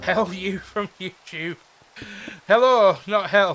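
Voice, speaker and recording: This is a man talking with a northern English accent. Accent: northern English, mistaken for Scottish. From northeast England (Teesside, Redcar). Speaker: gaming streamer. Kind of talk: casual live-stream chat. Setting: live stream. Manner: animated.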